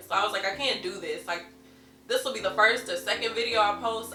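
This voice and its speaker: A woman talks very fast over background music, with audible room echo. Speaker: beauty youtuber. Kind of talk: makeup tutorial chat. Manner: casual.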